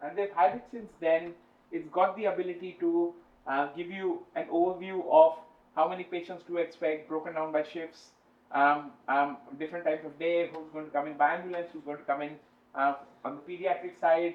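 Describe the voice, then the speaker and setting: High-pitched male speech at a moderate pace with big swings in loudness. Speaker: health research scientist. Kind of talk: conference talk. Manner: hesitant, many fillers.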